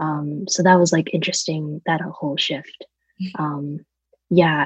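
Her pitch is fairly low and her voice somewhat breathy. The woman speaks at a fairly slow pace with fairly even intonation. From various European countries (Germany, London, Estonia, Italy, Poland). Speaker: environmentalist. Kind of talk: casual chat. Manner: frequent fillers and 'like'.

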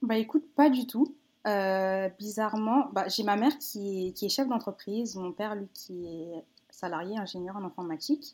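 A woman speaks in an unremarkable speaking voice at medium pitch and a fairly slow pace, with lively intonation. The recording is very clean, with a silent background. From France, Paris region. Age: 20s. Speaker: children's book author. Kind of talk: casual interview.

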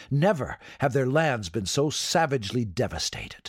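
A man's dramatic, somewhat breathy voice with lively intonation. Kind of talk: history documentary narration. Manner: dramatic, vivid storytelling.

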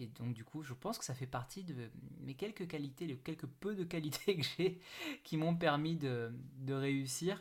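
With ordinary pitch variation and a somewhat breathy sound, a man keeps a moderate pace. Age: 30s. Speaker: podcast host, network marketing entrepreneur. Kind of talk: solo podcast monologue. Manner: hesitant, many fillers.

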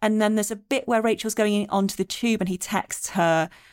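This woman has a plain, everyday voice with a fairly high pitch and a fairly quick pace. The recording is very clean against a silent background. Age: 40s. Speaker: podcast host. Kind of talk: casual chat.

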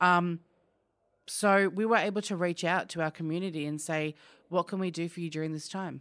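Speaking at a fairly quick clip with fairly even intonation, this voice has an Australian accent and comes through on a very clean recording with a silent background. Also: woman, fairly low pitch for a woman. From Australia, outer suburbs of Melbourne. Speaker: business owner. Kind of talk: interview. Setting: office.

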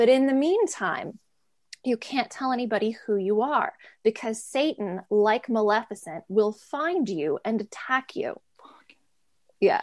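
A woman with an American accent speaks fairly slowly in an ordinary speaking voice, her pitch fairly high and her intonation lively. The sound is dry and close with no echo, over a quiet background. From US, DC area and New York. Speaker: artist and former cult member. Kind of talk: interview testimony.

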